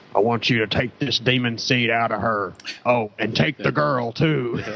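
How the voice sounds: Doing a put-on character voice in a Southern US accent, a man speaks at medium pitch and a moderate pace. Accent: Southern American.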